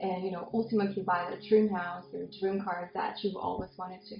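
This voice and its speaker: Music plays in the background while a woman talks at a moderate pace, her medium pitch showing ordinary variation. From Belarus. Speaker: real estate agent. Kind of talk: interview host talk.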